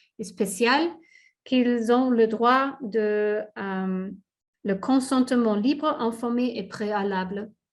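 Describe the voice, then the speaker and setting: Her pitch fairly high and its variation ordinary, a woman speaks at a very slow pace. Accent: non-native. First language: not French (speaking French). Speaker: safeguards expert presenter. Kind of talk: webinar presentation; Q&A moderation. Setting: online webinar. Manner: halting, many hesitations.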